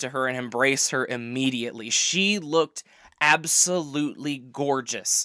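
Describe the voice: Plain reading aloud with ordinary pitch variation comes through in this clip.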